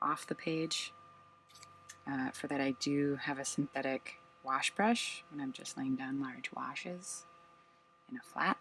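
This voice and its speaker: Soft-spoken, with a bright, sharp tone, a man talks at a fairly high pitch and a fairly slow pace, using ordinary pitch variation and long, frequent pauses. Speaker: watercolor painter. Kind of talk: casual supply tour to camera.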